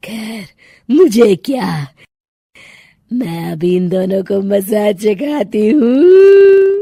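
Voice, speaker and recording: In a cartoonish character voice, a woman cackles at a very slow pace, her medium-pitched delivery carrying a menacing tone. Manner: cackling, menacing.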